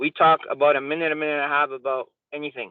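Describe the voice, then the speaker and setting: At a fairly quick pace, a man speaks in a fairly high pitch with a Spanish accent. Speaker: software salesperson and mentor. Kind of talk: mentorship training talk.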